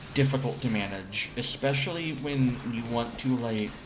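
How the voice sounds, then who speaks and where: Over noticeable background noise and audible room echo, a man speaks at medium pitch. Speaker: gaming streamer. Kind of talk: casual chat.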